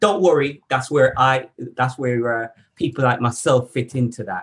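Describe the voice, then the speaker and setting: A man speaks at a fairly slow pace in a somewhat breathy voice. His pitch is medium, with ordinary variation. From Jamaica. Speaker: workplace needs assessor. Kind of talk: interview. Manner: hesitant, many fillers.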